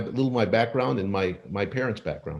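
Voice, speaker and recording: Vocal fry marks a man's medium-pitched voice with lively intonation. He keeps a moderate pace against a quiet background. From Los Angeles, US (born in Argentina). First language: Spanish. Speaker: physician and author. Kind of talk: podcast interview. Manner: halting with many fillers.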